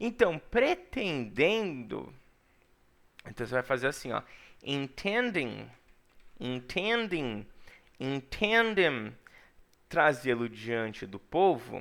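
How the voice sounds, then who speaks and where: A man at a fairly high pitch with very wide pitch swings, very slow and full of long, frequent pauses, on a very clean recording with a silent background. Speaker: English teacher. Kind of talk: lecture. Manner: animated.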